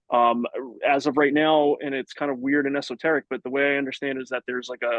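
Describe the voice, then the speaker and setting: A man rattles along at a very fast pace in a fairly high pitch, his intonation monotone and flat. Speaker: city forester. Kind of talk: live online Q&A session. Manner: casual, many fillers.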